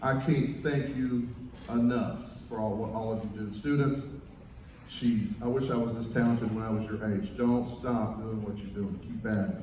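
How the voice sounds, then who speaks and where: In a Southern Kentucky accent, a man talks at a moderate pace and medium pitch with fairly even intonation, amid audible room echo and noticeable background noise. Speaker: guest band conductor and music teacher. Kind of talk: concert stage remarks to audience. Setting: concert stage with audience.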